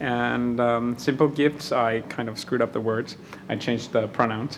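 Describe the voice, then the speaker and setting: At a moderate pace, a man with a medium pitch speaks over noticeable background noise. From Mexico. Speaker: opera singer.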